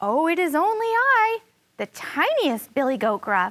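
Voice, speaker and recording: A woman does a put-on character voice at an extremely high pitch. She speaks at a moderate pace with very wide pitch swings. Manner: timid, meek.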